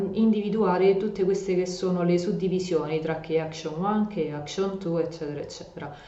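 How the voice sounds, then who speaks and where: Amid audible room echo and noticeable background noise, a woman speaks at medium pitch. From Rome, Italy. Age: 30s. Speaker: EU project consultant and educational youtuber. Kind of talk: tutorial. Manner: hesitant fillers.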